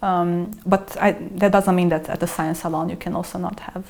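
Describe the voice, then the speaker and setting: Over noticeable background noise, a woman with a non-native accent speaks in a fairly low pitch and a monotone, flat intonation. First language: not English. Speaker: salon host and writer. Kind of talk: podcast interview. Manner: hesitant, with many fillers.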